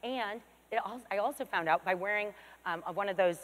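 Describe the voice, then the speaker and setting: A woman is speaking. Her voice is loud. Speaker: fitness expert. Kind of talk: keynote presentation. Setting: stage with audience. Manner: fast.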